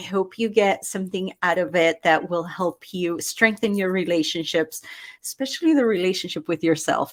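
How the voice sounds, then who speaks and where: Speaking with a slight Argentine accent, a woman uses a medium pitch, ordinary pitch variation and an animated tone at a moderate pace. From Argentina. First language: Spanish. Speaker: life coach. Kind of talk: interview.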